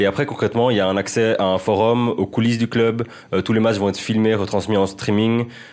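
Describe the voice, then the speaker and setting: A man's fairly low voice at a fairly quick pace, monotone and flat, with very even loudness. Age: 20s. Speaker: freelance football journalist. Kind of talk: casual chat.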